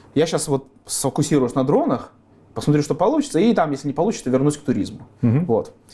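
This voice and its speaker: A man's very fast, somewhat breathy speech in a dark, mellow tone, at very even loudness. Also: fairly high pitch for a man, ordinary pitch variation. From Belarus (Gomel). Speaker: drone engineer and company founder. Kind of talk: interview.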